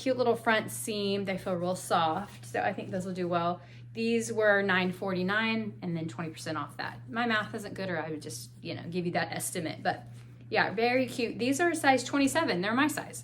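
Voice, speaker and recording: At a moderate pace, a woman speaks at a medium pitch with very wide pitch swings, with audible room echo and noticeable background noise. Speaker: part-time clothing reseller, haul video creator. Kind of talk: haul video, casual talk to camera. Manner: chatty, casual, with self-corrections.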